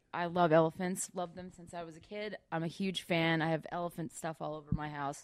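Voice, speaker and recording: A woman with a normal speaking voice talks at a fairly quick pace with hardly any pauses. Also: fairly low pitch for a woman. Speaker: actress. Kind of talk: casual chat. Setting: studio. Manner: giggly, upbeat.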